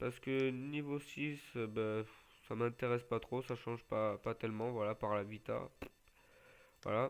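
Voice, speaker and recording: Pausing long and often, a man speaks at a fairly slow pace in a medium pitch with monotone, flat intonation. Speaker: gaming youtuber. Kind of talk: gameplay tutorial. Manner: halting.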